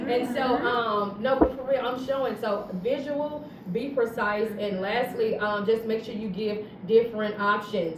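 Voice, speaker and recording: A woman's animated tone at a fairly slow pace, with audible room echo and noticeable background noise. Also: fairly high pitch for a woman, ordinary pitch variation. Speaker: fourth grade science teacher. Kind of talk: panel discussion.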